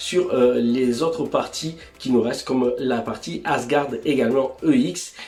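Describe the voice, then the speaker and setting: There is noticeable background noise. Audible echo from the room comes through as well. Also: man. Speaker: YouTube figure reviewer. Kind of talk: product review. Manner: casual, hesitant with fillers.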